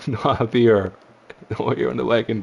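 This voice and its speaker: Amid noticeable background noise, a man speaks at medium pitch. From Ireland. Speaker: sim racing commentator. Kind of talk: live commentary. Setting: live stream. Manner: animated.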